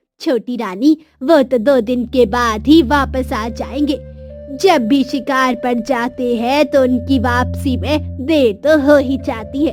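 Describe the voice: A woman uses a high, cartoonish character voice at a fairly slow pace. Music plays faintly in the background.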